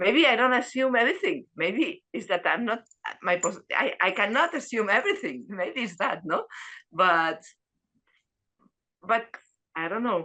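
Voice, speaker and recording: A woman with a Spanish accent speaks at a fairly high pitch in a bright, sharp tone with very wide pitch swings. Her pace is fairly slow, broken by long, frequent pauses. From Spain. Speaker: dharma class participant. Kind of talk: group discussion. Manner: halting.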